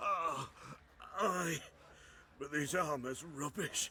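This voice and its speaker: Putting on a character voice, a man speaks very slowly in a high pitch. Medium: video game. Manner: gruff, blustering.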